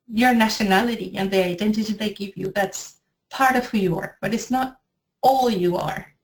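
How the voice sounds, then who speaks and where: Somewhat breathy, a woman with a Spanish accent and a fairly high pitch talks at a moderate pace with ordinary pitch variation. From Venezuela, Maracay. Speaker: editor and language teacher. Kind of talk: interview.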